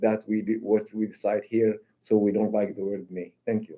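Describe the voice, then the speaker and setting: A man speaks with a non-native accent. His pitch is medium and his pace moderate. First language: not English. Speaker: council member. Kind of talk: council meeting. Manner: halting, repeats words.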